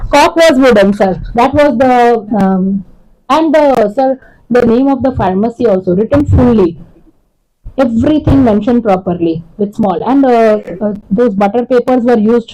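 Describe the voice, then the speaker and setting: In a Gujarati accent, a woman speaks at a moderate pace with a fairly high pitch and very even loudness. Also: lively intonation. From India, raised in Kolkata, Gujarati family. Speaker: homeopathy lecturer. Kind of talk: lecture.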